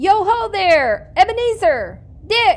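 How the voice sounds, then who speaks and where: Doing a put-on character voice, a woman speaks very slowly at an extremely high pitch with very wide pitch swings. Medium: read story. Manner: hearty, exuberant.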